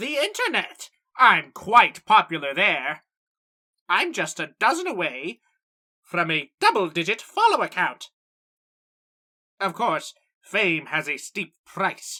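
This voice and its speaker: A put-on character voice at a middle pitch, at a fairly slow pace with long, frequent pauses. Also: female-sounding voice. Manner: loud, enthusiastic.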